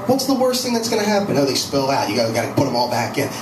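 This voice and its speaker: Music plays in the background as a man speaks in a high pitch. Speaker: stand-up comedian. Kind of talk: stand-up comedy routine. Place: cafe.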